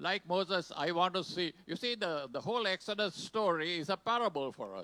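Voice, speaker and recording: Dry and close with no echo, a man's bright, sharp voice has a high pitch, ordinary pitch variation and a moderate pace. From Sri Lanka. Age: 80s+. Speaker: pastor. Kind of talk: sermon. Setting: church. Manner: short phrases paused for an interpreter.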